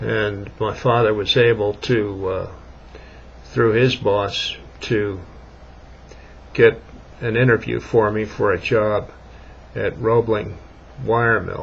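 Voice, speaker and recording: A man's fairly low voice at a very slow pace, with long, frequent pauses and noticeable background noise. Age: 60s. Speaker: vlogger. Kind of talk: casual monologue. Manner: halting.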